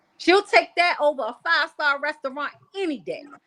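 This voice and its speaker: A woman projects her voice, raised and high in pitch. Her tone is bright and sharp, and her pace is moderate. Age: 40s. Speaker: podcast guest. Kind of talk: casual chat.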